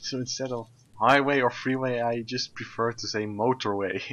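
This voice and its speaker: Speaking at a fairly slow pace with a Dutch accent, a man keeps a medium pitch and fairly even intonation. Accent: very Dutch. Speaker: gaming streamer. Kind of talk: casual chat. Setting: live stream.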